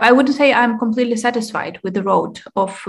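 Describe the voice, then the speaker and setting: A woman speaks with a Ukrainian accent in a fairly high, somewhat breathy voice. Her intonation stays fairly even over a quiet background. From Ukraine. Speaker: member of parliament. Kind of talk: panel interview. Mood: calm, serious. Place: kitchen. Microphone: video call.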